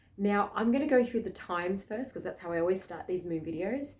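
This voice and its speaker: A woman speaks at a medium pitch with an Australian accent. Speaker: spiritual astrology vlogger. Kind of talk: casual spiritual talk to camera. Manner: fast.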